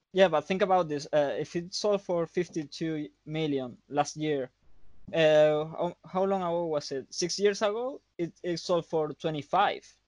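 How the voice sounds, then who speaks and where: With a Spanish accent and a high pitch, a man speaks at a fairly slow pace with ordinary pitch variation, the sound dry and close with no echo. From Canary Islands, Spain. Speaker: photographer and filmmaker. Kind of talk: casual chat. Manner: halting.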